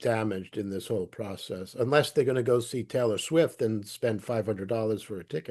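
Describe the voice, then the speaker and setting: This man speaks at a medium pitch with a dark, mellow tone. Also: quiet background. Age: 70s. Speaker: interviewer. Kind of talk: interview. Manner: halting, repeats words.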